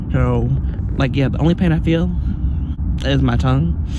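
Loud background noise sits behind a man talking at a moderate pace. The sound is dry, with no echo. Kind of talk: casual vlog chat. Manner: drowsy, slurred post-anesthesia speech. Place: car. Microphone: phone near.

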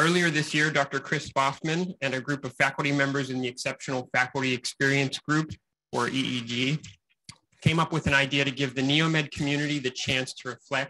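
A man talks at a moderate pace in a fairly high, bright, sharp tone. His intonation stays fairly even over light background noise. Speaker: university staff representative; staff member giving a report. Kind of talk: prepared announcement. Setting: stage with audience, streamed on Zoom. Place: meeting room. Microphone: podium.

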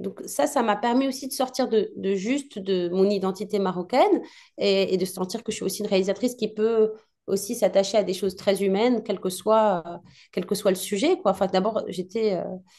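A woman speaks at a moderate pace with medium pitch. Her pitch varies in an ordinary way over a quiet background. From Morocco, Casablanca. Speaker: film director. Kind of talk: interview. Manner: hesitant.

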